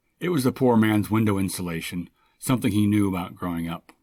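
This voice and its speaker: At a moderate pace, a man with an ordinary speaking voice talks at a fairly low pitch with ordinary pitch variation on a very clean recording with a silent background. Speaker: short story writer. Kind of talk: short story reading.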